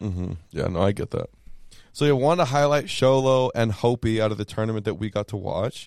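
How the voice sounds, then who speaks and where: Recorded very cleanly with a silent background and a dry, close sound with no echo, a man with a normal speaking voice and an American accent talks at medium pitch and a fairly quick pace with lively intonation. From Texas. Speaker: sports podcast host. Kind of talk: casual chat.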